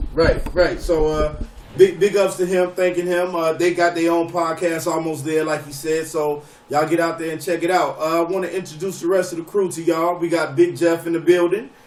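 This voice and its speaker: Talking at a fairly quick pace, a man with a high voice speaks in a monotone, flat way over noticeable background noise. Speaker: sports podcast host and youth football coach. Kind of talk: casual sports chat. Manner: halting, repeats words.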